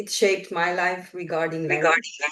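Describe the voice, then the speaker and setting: A woman speaks with a Romanian accent. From northwestern Romania, near Hungarian border. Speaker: translation researcher. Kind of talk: podcast interview.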